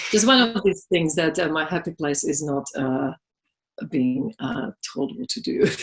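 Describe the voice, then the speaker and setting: Speaking at a fairly slow pace with a Slovak accent, a woman uses a fairly low pitch that swings very widely. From Slovakia. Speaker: massage therapist and business owner. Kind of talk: interview. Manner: halting.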